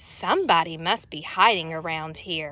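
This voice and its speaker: A woman's put-on character voice, growling at a fairly low pitch, with fairly even intonation and a moderate pace. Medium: read story.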